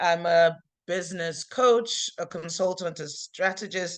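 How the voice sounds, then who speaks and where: A woman speaks at a medium pitch. Her pitch varies in an ordinary way. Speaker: business coach. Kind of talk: webinar presentation. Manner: fast.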